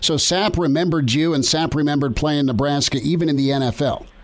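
A man's voice sits fairly high, with ordinary variation in pitch. He keeps a moderate pace over noticeable background noise. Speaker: sports radio host. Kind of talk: sports interview.

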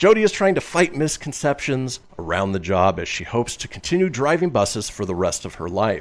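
A man with vocal fry talks at a fairly quick pace with hardly any pauses, his pitch swinging very widely. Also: medium pitch for a man. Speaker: radio show host. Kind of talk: casual comedic radio show banter.

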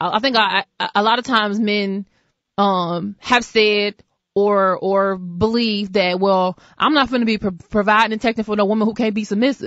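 Speaking at a moderate pace, a woman with an ordinary speaking voice keeps a medium pitch and fairly even intonation. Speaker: radio talk show host. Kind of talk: talk radio.

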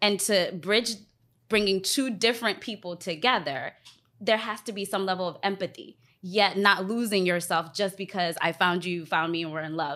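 A woman with an American accent has a bright, sharp tone on a very clean recording with a silent background. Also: medium pitch for a woman, ordinary pitch variation, moderate pace. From US, DC area (Alexandria, Virginia). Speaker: relationship podcast guest. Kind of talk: casual chat.

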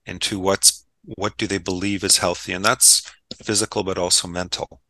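A man with an unremarkable speaking voice talks at a moderate pace and fairly low pitch, the sound dry and close with no echo against a quiet background. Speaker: podcast host. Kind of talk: casual interview.

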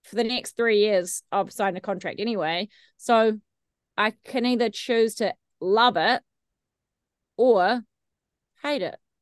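A woman with a New Zealand accent talks at a fairly slow pace and fairly high pitch, with ordinary pitch variation, long, frequent pauses, and a dry, close sound with no echo. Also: quiet background. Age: 30s. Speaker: radio host. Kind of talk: casual interview chat.

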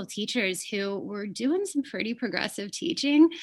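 Speaking at a moderate pace in an unremarkable speaking voice, a woman with an American accent uses a fairly high pitch and lively intonation. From California, Fresno area. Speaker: woodworker and artist. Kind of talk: interview.

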